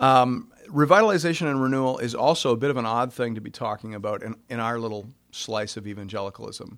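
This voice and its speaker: A man with a normal speaking voice, medium pitch and ordinary pitch variation is heard on a very clean recording with a silent background. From Canada, Ontario. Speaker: pastor. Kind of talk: conference workshop talk.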